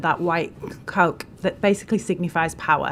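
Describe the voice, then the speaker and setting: A woman speaks at a fairly quick pace with a northern English accent. Her pitch sits fairly low, and her intonation stays fairly even. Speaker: charity representative, witness at parliamentary inquiry. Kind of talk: testimony. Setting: parliamentary committee hearing.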